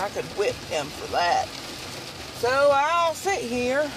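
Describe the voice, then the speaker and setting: A woman's voice, dry with no echo, against noticeable background noise. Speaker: crafting vlogger. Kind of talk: casual vlog chat. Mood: relaxed, chatty. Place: car. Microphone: phone near.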